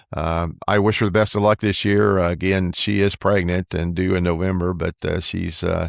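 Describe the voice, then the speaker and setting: A man with a very deep, low voice talks at a moderate pace in a flat monotone, with hardly any pauses, on a very clean recording with a silent background and a dry, close sound with no echo. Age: 70s. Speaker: podcast co-host. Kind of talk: casual chat. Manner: halting, many fillers.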